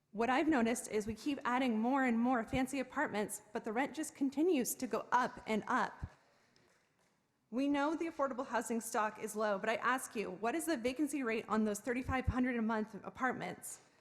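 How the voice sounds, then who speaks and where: A woman with an American accent, high pitch, ordinary pitch variation, and a fairly quick pace. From South Bay, California. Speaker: tenant, public commenter. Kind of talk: public comment at council meeting.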